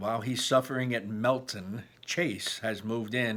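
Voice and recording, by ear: The intonation is fairly even. The text is read aloud in a natural voice.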